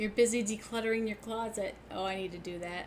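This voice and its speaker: Ordinary pitch variation and a fairly quick pace, with noticeable background noise behind it. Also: woman. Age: 60s. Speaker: sewing channel host. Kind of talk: casual livestream chat. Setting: live stream.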